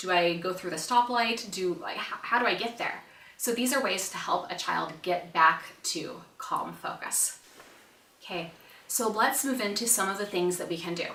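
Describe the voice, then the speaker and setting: In a room with audible echo and noticeable background noise, a woman speaks at a medium pitch in an animated tone with ordinary pitch variation. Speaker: parenting educator, mom. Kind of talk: online conference presentation. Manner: fast.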